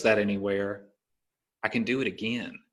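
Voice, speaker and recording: Intonation stays fairly even as this speaker talks at a moderate pace in a Southern US accent. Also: man. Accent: Southern American. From US South, Alabama. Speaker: podcast host and stand-up comedian. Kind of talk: casual chat.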